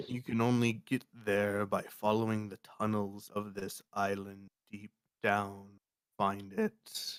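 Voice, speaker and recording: A man's put-on character voice, fairly low-pitched and fairly slow. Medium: actual play. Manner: cryptic, ominous.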